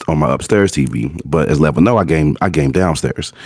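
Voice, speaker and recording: Over noticeable background noise, a man talks at a moderate pace in a very deep, low voice. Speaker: gaming podcast co-host. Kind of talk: casual chat.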